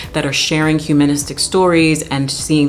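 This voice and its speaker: Very deep, low pitch from a woman, with noticeable background noise behind her. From Jamaica. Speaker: classically trained soprano. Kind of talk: educational talk to camera. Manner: casual, animated.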